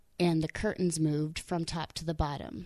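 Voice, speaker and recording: Soft-spoken and very deep in pitch, a woman talks at a moderate pace. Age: 20s. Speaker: army veteran and accountant. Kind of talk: casual chat. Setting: hotel room.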